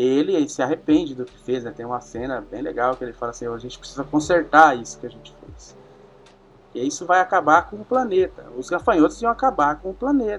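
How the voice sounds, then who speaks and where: A fairly quick pace in an ordinary speaking voice. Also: man, fairly high pitch for a man. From Paraná interior, Brazil. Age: 30s. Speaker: podcast guest, film fan. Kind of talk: casual chat.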